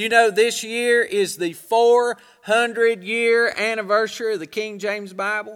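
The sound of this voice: A man speaks slowly in a high pitch with a clear, smooth tone that is fairly bright. His intonation is fairly even.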